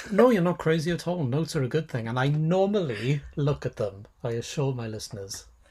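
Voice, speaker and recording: A man's fairly high voice in a Welsh accent at a fairly quick pace with hardly any pauses. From Wales. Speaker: podcast co-host, sociologist of religion. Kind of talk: casual academic discussion. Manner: halting, self-correcting.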